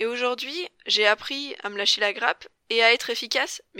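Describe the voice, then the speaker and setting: Recorded with a dry, close sound and no echo, a woman speaks at a moderate pace, her fairly high pitch showing ordinary variation and her tone bright and sharp. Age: 20s. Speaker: podcast host and life coach. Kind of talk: solo podcast introduction.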